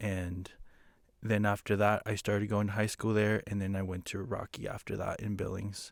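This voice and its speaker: A man speaks at a moderate pace in a fairly low pitch with monotone, flat intonation, on a very clean recording with a silent background. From Ecuador, Quito. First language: Spanish. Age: young. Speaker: photographer and business owner. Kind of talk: casual chat. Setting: studio.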